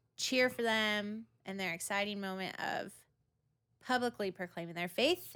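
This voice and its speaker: A woman talks with an American accent. Her tone is bright and sharp. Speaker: church podcast host. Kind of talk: casual chat.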